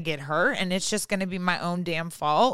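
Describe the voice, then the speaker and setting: On a very clean recording with a silent background, a woman speaks at a moderate pace. Her tone is bright and sharp, with ordinary pitch variation. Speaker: podcast co-host and writer. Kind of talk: casual chat. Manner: comedic delivery, like stand-up.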